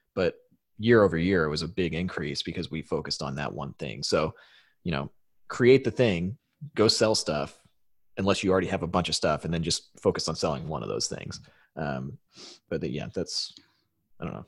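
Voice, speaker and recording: A man with a very deep, low pitch and vocal fry talks at a fairly quick pace with lively intonation, broken by long, frequent pauses. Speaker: podcast co-host, online business entrepreneur. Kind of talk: casual chat. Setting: remote online call. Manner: casual, laughs often.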